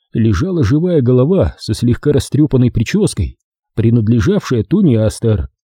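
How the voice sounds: Lively intonation marks a natural reading voice over a quiet background.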